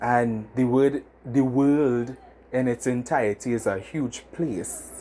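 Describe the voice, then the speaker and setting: This man speaks at medium pitch. His tone is dark and mellow. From Trinidad and Tobago (Diego Martin). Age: 20s. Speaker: podcast host. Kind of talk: casual monologue. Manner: animated.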